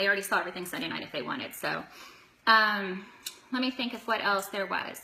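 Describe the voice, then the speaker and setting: A woman's ordinary pitch variation comes through against noticeable background noise. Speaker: direct sales consultant. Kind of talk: live video tutorial. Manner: fast; animated.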